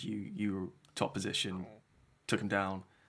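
A man speaks at a fairly slow pace in a fairly low pitch, his intonation monotone and flat. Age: 20s. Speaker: podcast host. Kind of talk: casual interview.

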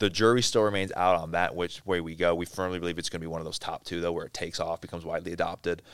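A man with an American accent and a very deep, low pitch talks at a very fast pace with hardly any pauses. His intonation is monotone and flat, on a very clean recording with a silent background. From southeast Wisconsin, US Midwest. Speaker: business executive. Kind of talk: interview.

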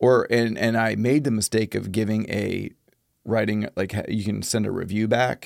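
A man's ordinary speaking voice at a moderate pace, with fairly even intonation. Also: fairly low pitch for a man. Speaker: podcast host. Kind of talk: casual podcast chat.

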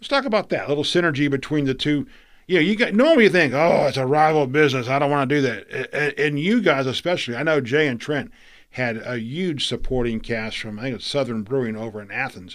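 In a very clean recording with a silent background, the speaker goes at a very fast pace with lively intonation and an American accent. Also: man, fairly high pitch for a man. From Florida. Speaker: podcast host. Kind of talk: interview. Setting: studio.

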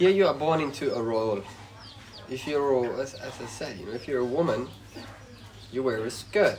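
A man with a Swedish accent speaks at a medium pitch and moderate pace with lively intonation. Noticeable background noise and audible room echo surround him. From Sweden. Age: 30s. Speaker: expat living in Laos. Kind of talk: interview.

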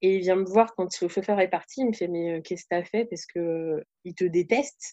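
Speaking at a fairly slow pace, a woman has a dark, mellow tone, a medium pitch and ordinary pitch variation. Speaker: youth camp leader and trainer. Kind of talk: casual chat.

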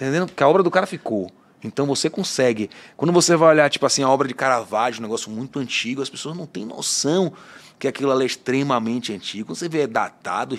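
A man talks at a very fast pace with lively intonation and a medium pitch. The recording is very clean, with a silent background. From Bahia, Brazil. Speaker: podcast host, tattoo artist. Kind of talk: casual interview chat. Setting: studio.

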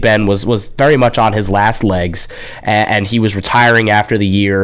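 There is clearly audible noise in the background. The man's delivery is at a moderate speed. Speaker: radio sports host. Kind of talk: live radio sports talk. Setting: radio studio.

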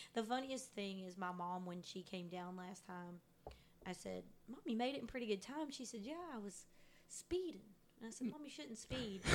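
A woman with an unremarkable speaking voice talks at medium pitch and a moderate pace, her intonation lively. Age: 30s. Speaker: podcast co-host. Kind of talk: casual chat. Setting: home apartment living room.

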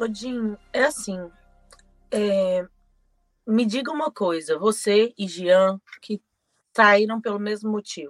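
With a fairly high pitch and ordinary pitch variation, a woman speaks at a very slow pace with long, frequent pauses, in a dry, close sound with no echo. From Brazil, Belo Horizonte. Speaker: podcast co-host. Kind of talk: casual chat.

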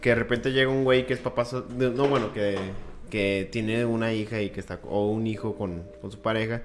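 A man with a Mexican accent talks at a moderate pace, his medium pitch showing ordinary variation. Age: 20s. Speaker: podcast co-host. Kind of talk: casual chat.

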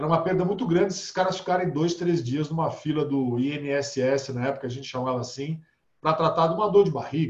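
A man speaks at a fairly quick pace with ordinary pitch variation. His is an ordinary speaking voice, fairly high in pitch. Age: 50s. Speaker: holistic therapist. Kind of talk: casual interview.

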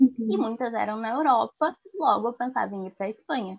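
A woman speaks in a plain, everyday voice at a fairly high pitch. Her pace is moderate and her pitch variation ordinary. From Porto Alegre, southern Brazil. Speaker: university student. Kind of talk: interview.

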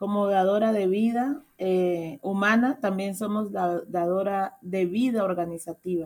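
The tone of this woman's voice is dark and mellow. It sits at a medium pitch. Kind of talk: radio interview.

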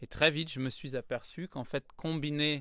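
On a very clean recording with a silent background, a man with a Parisian accent speaks at a fairly slow pace. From Paris, France. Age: 30s. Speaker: yoga teacher, former musical theatre performer. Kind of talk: casual interview. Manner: hesitant with many fillers.

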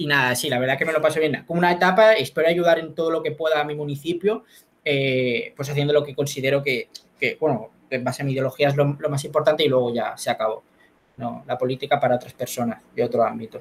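A man's somewhat breathy, fairly high voice in a Spanish accent, at a very fast pace with ordinary pitch variation. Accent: Spanish from Spain. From Spain. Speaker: competitive debater and local councillor. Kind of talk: interview.

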